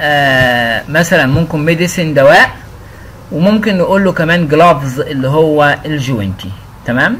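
A man's fairly high-pitched voice with an Egyptian accent, over noticeable background noise. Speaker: English teacher. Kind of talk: tutorial. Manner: casual.

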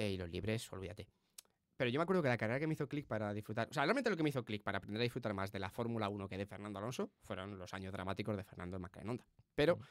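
Over a quiet background, a man talks very fast in a fairly low voice. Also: ordinary pitch variation, dry sound with no echo. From Spain. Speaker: Formula 1 podcast host; podcast co-host. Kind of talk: casual chat. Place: studio. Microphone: studio mic.

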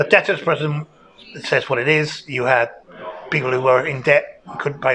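Against light background noise, a man speaks at a fairly quick pace with fairly even intonation. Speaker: local history guide. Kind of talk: interview answer. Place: home room. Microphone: lapel.

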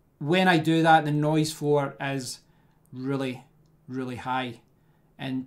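A man at a very slow pace with fairly even intonation, over a quiet background. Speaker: tech reviewer. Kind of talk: tutorial. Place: home room. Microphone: studio mic.

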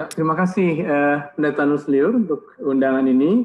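The speaker has an ordinary speaking voice and talks at a moderate pace. Pitch varies in an ordinary way. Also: man. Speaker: seminary lecturer. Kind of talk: academic commentary. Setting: video call. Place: home room. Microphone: earbuds.

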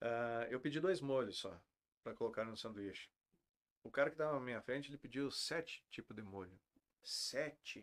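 A man talks at a moderate pace with lively intonation. He pauses long and often. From Rio Grande do Sul (Santa Maria); Rio Grande do Sul. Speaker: restaurant owner; podcast guest. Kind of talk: interview. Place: studio.

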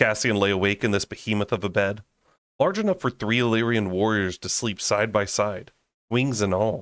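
A man talks at a fairly low pitch in a very clean recording with a silent background. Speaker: audiobook reader and book-club channel host. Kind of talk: dramatic narration of a fantasy novel, brooding and intense. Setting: home recording, raw unedited audio. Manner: casual, chatty and laughing in between-chapter banter.

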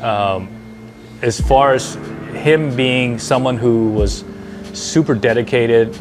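A man's voice with ordinary pitch variation over clear background music. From Hawaii. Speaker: surfboard shaper. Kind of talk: interview answer. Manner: soft-spoken, humble. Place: shop. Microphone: lapel.

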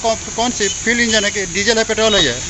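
The speech moves at a fast pace with fairly even intonation over clear background noise. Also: man, high pitch for a man.

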